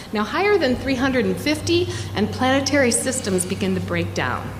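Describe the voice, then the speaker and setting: A woman speaks at a fairly quick pace. Room echo and background noise are both noticeable. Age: 60s. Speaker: librarian and climate educator. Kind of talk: presentation talk. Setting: studio.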